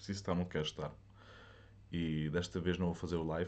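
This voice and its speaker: In a European Portuguese accent, a man with a very deep, low pitch speaks in a monotone, flat intonation. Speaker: podcast host. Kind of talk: solo livestream monologue. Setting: alone in a room, speaking to a camera. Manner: halting.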